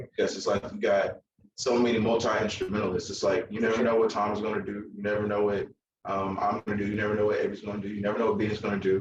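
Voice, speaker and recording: A man speaks with a Southern US accent. His pace is very fast. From Alabama, US South. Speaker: musician. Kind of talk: interview. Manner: casual, joking.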